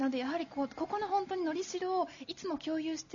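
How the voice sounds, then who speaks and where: There's noticeable background noise. Over it, a woman speaks very fast. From Yokohama, Japan. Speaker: business author, former executive secretary. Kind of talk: talk at live public recording. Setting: stage with audience.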